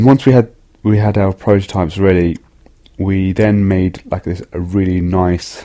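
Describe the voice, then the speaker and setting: Speaking at a fairly slow pace, a man with a very deep, low pitch delivers his words in a dark, mellow tone with monotone, flat intonation. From West Midlands, England (Wolverhampton). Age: 30s. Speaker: confectionery entrepreneur. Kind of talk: storytelling interview. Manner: casual, with frequent fillers.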